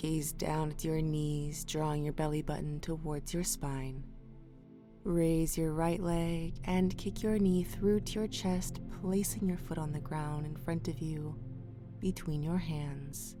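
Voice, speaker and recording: A woman with a very deep, low pitch speaks at a very slow pace in a calm tone with ordinary pitch variation. Music plays in the background, and audible room echo surrounds her. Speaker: yoga instructor. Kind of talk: guided yoga class. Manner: calm, clear instructions.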